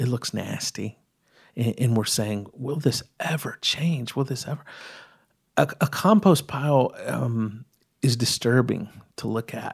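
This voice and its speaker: Recorded very clean against a silent background, a man with an American accent speaks somewhat breathily at a medium pitch, with ordinary pitch variation and a fairly slow pace. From East Texas. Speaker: storyteller and collector. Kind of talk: casual interview conversation. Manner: hesitant with fillers and repetitions.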